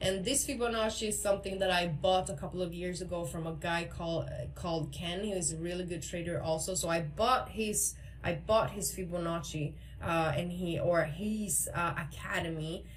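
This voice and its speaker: A woman's fairly low voice with hardly any pauses, amid audible room echo and noticeable background noise. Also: ordinary pitch variation. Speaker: crypto trading educator. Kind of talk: tutorial. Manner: fast.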